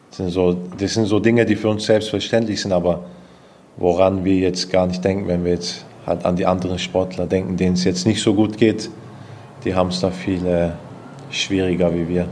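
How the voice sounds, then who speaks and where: The speaker talks at a moderate pace with long, frequent pauses and flat, monotone intonation, with audible room echo. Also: man, very deep, low pitch for a man. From Stuttgart, Swabia (southwest Germany). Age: 20s. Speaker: taekwondo athlete. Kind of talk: interview.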